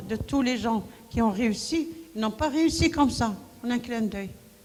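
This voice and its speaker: Amid noticeable background noise and audible room echo, a woman with a high voice speaks at a moderate pace with ordinary pitch variation. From Morocco, Marrakech. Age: 70s. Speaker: women's rights activist. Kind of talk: conference talk. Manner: animated.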